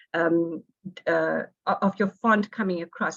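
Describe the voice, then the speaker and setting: The voice has vocal fry and a flat, monotone intonation. The sound is dry and close, with no echo. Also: woman. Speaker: workshop presenter on design. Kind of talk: online workshop lecture. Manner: fast.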